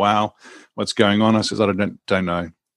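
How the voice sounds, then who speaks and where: The speaker has a New Zealand accent and fairly even intonation. The recording is very clean with a silent background and a dry, close sound with no echo. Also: man. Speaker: executive coach. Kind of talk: casual interview.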